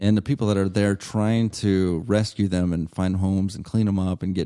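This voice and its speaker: At a moderate pace, a man with a very deep, low pitch and a dark, mellow tone speaks with fairly even intonation in a very clean recording with a silent background. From Yuma, Arizona. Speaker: comedian. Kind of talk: casual interview. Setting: dining room.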